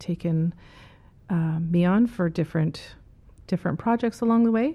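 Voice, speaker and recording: In a Canadian accent, a woman with a fairly low pitch uses a plain, everyday voice with ordinary pitch variation. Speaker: medication safety advocate. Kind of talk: interview.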